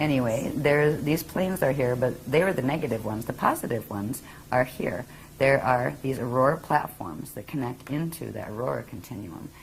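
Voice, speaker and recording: A woman's very deep, low voice with lively intonation, an American accent and a fairly quick pace. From US Northeast. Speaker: spiritual teacher. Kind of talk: interview. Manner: fast.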